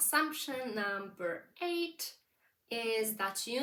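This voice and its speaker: This woman's fairly high voice has a bright, sharp tone and lively intonation, with a non-native accent. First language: not English. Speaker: business coach. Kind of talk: vlog monologue, advice. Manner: conversational with fillers.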